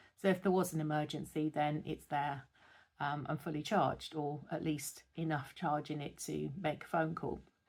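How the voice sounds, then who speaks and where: A woman with a British accent speaks at a moderate pace in a very deep, low pitch with monotone, flat intonation. The recording is very clean with a silent background. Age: 60s. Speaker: lifestyle vlogger. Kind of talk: casual talk to camera. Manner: hesitant, with fillers.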